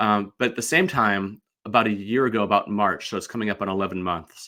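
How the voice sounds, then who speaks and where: In an American accent, a man with a fairly low pitch and a bright, sharp tone speaks at a very fast pace. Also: fairly even intonation, very clean recording, silent background. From US Midwest, St. Louis. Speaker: sports card collector and podcaster. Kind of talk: casual interview chat. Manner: slurred words.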